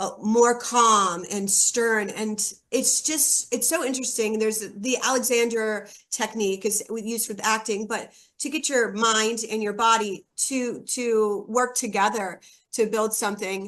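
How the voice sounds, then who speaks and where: A woman's fairly high voice with fairly even intonation. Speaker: actor. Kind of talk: interview. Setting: show interview. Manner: fast.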